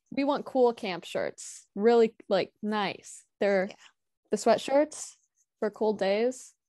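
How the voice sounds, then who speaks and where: A woman's fairly high, dark, mellow voice with an American accent, very slow pace and ordinary pitch variation, dry with no echo against a quiet background. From Illinois. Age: 18. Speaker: camp counsellor, university student; guest. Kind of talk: casual interview chat. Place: home room. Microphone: earbuds.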